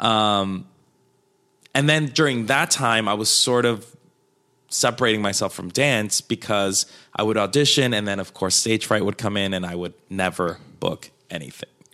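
On a very clean recording with a silent background, a man speaks at a moderate pace with a bright, sharp tone, a fairly low pitch and ordinary pitch variation. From Colombia, moved to Queens NY at twelve. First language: Spanish. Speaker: comedian and dancer. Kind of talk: casual chat. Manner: animated.

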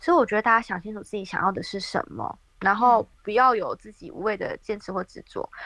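A woman speaks fairly quickly at a fairly high pitch in an ordinary speaking voice. The sound is dry and close, with no echo. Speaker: working holiday traveler. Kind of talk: interview.

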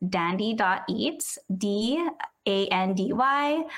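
A woman speaks with an American accent at a fairly high pitch. Her intonation is lively. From San Diego, California. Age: 20s. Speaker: food content creator. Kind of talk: casual interview.

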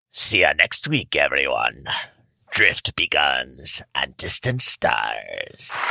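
A raspy, put-on character voice. It moves at a very slow pace. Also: man. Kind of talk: storytelling, epic narration.

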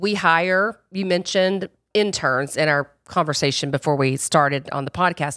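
On a very clean recording with a silent background, a woman with an American accent uses a normal speaking voice, fairly low in pitch with ordinary pitch variation. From rural US South. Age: 50s. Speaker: podcast host, PR agency CEO. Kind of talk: casual interview chat. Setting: studio.

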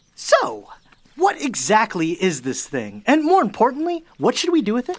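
A woman puts on a character voice with fairly high pitch, very wide pitch swings and a moderate pace.

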